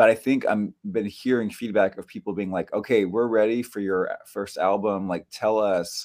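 A man with a plain, everyday voice, fairly low pitch, fairly even intonation and a moderate pace. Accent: American. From US, northern California (Bay Area). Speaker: musician. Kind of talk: casual chat.

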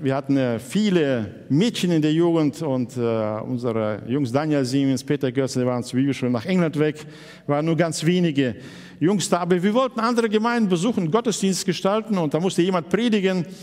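The pitch swings very widely at a moderate pace. Noticeable background noise can be heard. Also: man, fairly high pitch for a man. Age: 60s. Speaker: pastor. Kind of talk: sermon.

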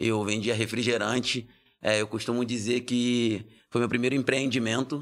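Monotone, flat intonation at a moderate pace, on a very clean recording with a silent background. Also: man. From Brazil, Rio de Janeiro. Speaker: lawyer and social entrepreneur. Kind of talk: interview conversation.

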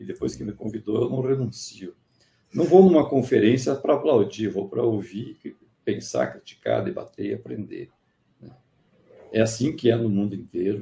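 Speaking at a moderate pace and a medium pitch, a man has a dark, mellow tone with vocal fry, lively intonation, big swings in loudness and long, frequent pauses. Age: 60s. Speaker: engineering professor. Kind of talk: interview on a live stream. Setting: online live stream.

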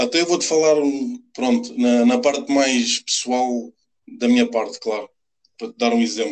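A man's medium-pitched voice at a moderate pace, ordinary pitch variation, long and frequent pauses. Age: 30s. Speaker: football fan, former goalkeeper. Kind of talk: casual interview.

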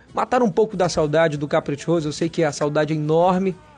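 Music plays in the background as a man speaks at a fairly quick pace. His pitch is high, with ordinary variation. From Parintins, Amazonas, Brazil. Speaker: podcast host. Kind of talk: casual podcast presenting. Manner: animated.

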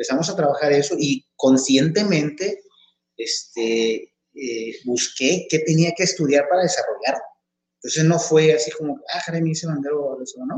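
A man with an ordinary speaking voice and a fairly high pitch talks at a fairly slow pace. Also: ordinary pitch variation. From Mexico, Tepic (Nayarit) and Chihuahua. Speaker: marching band instructor and coordinator. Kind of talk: interview.

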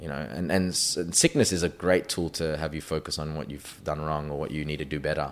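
Using a very deep, low pitch with vocal fry, a man with an Australian accent talks at a fairly quick pace with fairly even intonation. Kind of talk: interview.

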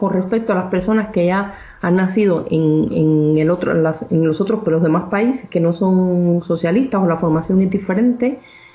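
A woman speaks in a normal speaking voice at medium pitch, with ordinary pitch variation. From Cuba. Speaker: physicist and real estate investor. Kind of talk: interview.

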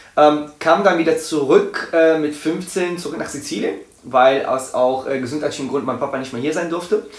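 The voice has ordinary pitch variation. Audible room echo and noticeable background noise are present. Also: man, fairly high pitch for a man, moderate pace. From Italy. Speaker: dance school owner. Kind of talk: casual chat.

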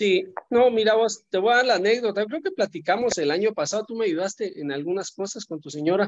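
At a fairly quick pace with hardly any pauses, a man with a high voice speaks with ordinary pitch variation against a quiet background. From Guatemala. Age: 50s. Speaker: businessman. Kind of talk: casual chat.

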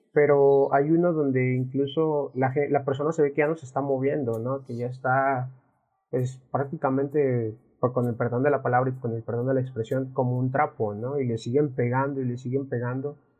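A man delivers his words at a moderate pace with monotone, flat intonation. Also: medium pitch for a man. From Mexico. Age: 20s. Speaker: podcast host. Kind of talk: casual chat. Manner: halting.

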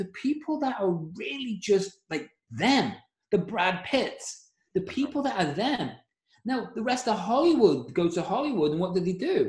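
Moving at a moderate pace, this man's high voice rises and falls in very wide pitch swings. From Liverpool, England. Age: 40s. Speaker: mindset coach and podcaster. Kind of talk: casual interview chat.

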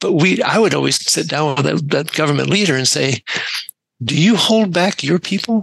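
Heard in a dry, close sound with no echo, a plain, everyday voice with an American accent moves at a moderate pace with ordinary pitch variation. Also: man. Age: 60s. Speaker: career transition coach, military veteran. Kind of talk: casual interview chat.

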